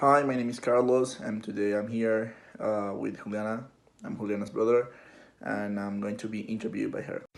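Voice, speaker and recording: With a Spanish accent, a man speaks at a moderate pace in a monotone, flat intonation. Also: medium pitch for a man. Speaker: interviewee, university student. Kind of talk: interview. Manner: halting, many fillers and repetitions.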